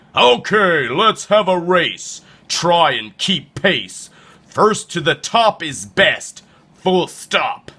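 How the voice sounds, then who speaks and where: A man talks in a put-on character voice, pitched high for a man. His intonation is lively, though the pace is very slow. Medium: read story. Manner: boastful.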